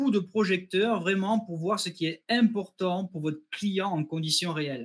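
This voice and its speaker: Speaking at a fairly slow pace in a southwestern French accent, a man uses a high pitch with ordinary pitch variation. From southwest France, near Toulouse. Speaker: customer success manager, webinar host. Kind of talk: webinar presentation. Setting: online webinar.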